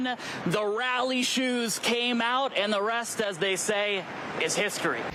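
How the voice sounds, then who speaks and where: A man's raised, projected, high-pitched voice at a very slow pace, ordinary pitch variation, over noticeable background noise. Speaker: TV news reporter. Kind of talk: TV news field report.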